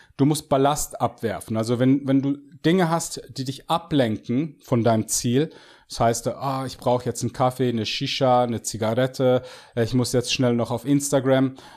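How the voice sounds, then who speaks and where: A man with a medium pitch and fairly even intonation talks at a moderate pace, recorded very cleanly with a silent background. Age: 40s. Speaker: fitness coach and bodybuilder. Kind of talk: podcast interview. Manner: halting, many fillers and repetitions.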